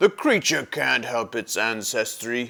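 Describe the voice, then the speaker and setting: A man puts on a raspy character voice at medium pitch and a fairly slow pace. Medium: read story.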